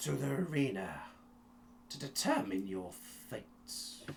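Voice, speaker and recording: A man talks in a put-on character voice at a fairly slow pace. Clear background noise runs behind him. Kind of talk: ceremonial address. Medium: actual play. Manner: imperious, formal.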